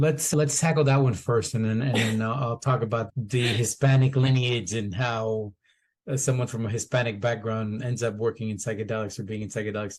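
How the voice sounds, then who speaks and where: A man's medium-pitched, somewhat breathy voice at a fairly quick pace over a quiet background. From US, Colombian immigrant family. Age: 50s. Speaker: former TV producer, microdosing entrepreneur. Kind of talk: podcast interview.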